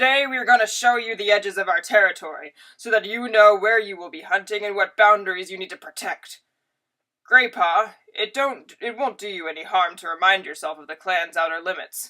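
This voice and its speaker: A woman puts on a character voice, growling and raspy at medium pitch. Her tone is stern, and she moves at a fairly quick pace. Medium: read story. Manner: stern, growling.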